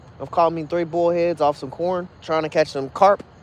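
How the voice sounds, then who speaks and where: In an American accent, a man talks at a moderate pace with a high pitch and monotone, flat intonation. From Kentucky. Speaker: fishing livestreamer. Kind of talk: casual livestream chat. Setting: outdoors at night, fishing.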